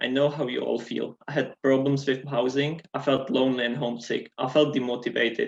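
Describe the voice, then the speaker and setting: At a medium pitch, a man talks in a flat, monotone way. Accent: non-native. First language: not English. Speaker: student election candidate. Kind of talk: debate opening statement.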